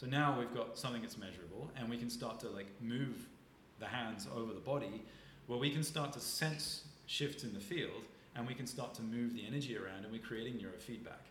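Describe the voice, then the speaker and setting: Amid noticeable background noise, a man with a medium pitch and ordinary pitch variation talks at a fairly quick pace. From southern England (Isle of Wight). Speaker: nervous system and breathwork expert. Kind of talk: casual interview chat.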